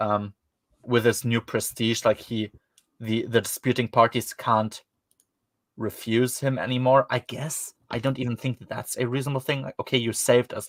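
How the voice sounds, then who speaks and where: Over a silent background on a very clean recording, a man with a German accent speaks at a moderate pace in a medium, monotone voice, his loudness swinging widely in a dry, close sound with no echo. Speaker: podcast host reviewing books. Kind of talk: casual chat. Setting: livestream. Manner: hesitant, many fillers.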